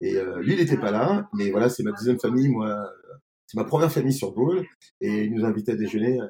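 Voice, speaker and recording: At a fairly quick pace, a man of medium pitch talks with very wide pitch swings. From France, Grenoble. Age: 50s. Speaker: restaurant and bar owner. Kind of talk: interview. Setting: in his wine bar. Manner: halting, many repetitions.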